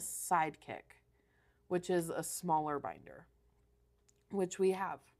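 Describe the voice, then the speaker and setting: A woman at medium pitch and moderate pace. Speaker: craft store owner presenting new products. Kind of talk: live stream product showcase. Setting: store classroom, live stream. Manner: hesitant, many fillers.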